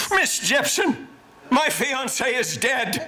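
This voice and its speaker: Using a put-on character voice at an extremely high pitch, a man speaks at a very slow pace with audible echo. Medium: stage play.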